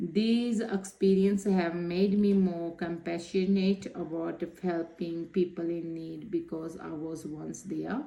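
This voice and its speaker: Speaking with a Punjabi accent, a woman uses a fairly low pitch, fairly even intonation, and a dark, mellow tone at a very slow pace. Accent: Punjabi Indian. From Punjab, India. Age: 30s. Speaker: social work student. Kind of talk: reflective assignment talk. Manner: halting.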